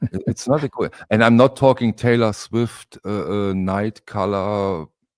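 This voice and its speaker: A man's fairly low voice with a non-native accent, at a very slow pace. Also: dry, close sound with no echo. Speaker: record collector. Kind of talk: casual chat. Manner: halting.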